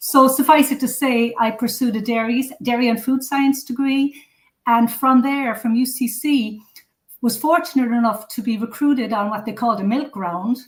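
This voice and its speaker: Speaking with an Irish accent, a woman uses a high pitch and fairly even intonation. Her pace is moderate. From Cork, southern Ireland. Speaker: food safety consultant. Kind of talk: interview.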